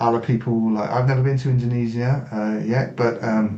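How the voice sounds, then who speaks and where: With an English accent, a man speaks at a medium pitch and with fairly even intonation. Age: 60s. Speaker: martial artist, army veteran. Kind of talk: interview.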